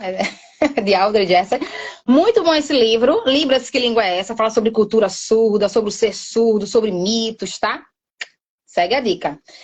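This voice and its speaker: The speaker has an animated tone and lively intonation at a moderate pace. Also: woman. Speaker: sign language teacher. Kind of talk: live online class.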